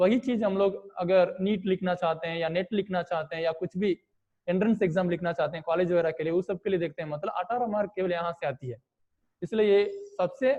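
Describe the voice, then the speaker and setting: A man speaks in a Tamil accent at a moderate pace. His pitch is high, with ordinary pitch variation. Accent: non-native Hindi, Tamil speaker. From Tamil Nadu, India. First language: Tamil (speaking Hindi). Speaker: online teacher. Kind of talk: online class lecture. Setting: video call.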